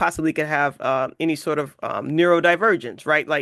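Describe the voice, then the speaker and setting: A moderate pace against a quiet background. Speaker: podcast host. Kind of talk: podcast interview questions.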